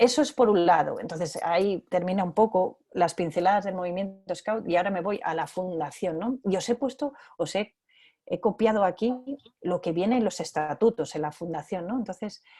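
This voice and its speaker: A woman speaks with a medium pitch and ordinary pitch variation. Her tone is dark and mellow. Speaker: biologist and scout educator giving a talk. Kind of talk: online talk with slides. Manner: fast; hesitant, repeats words.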